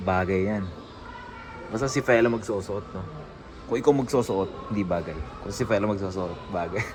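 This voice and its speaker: With music in the background and audible room echo, a man talks with ordinary pitch variation and long, frequent pauses. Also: moderate pace. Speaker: vlogger. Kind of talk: casual vlog. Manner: animated.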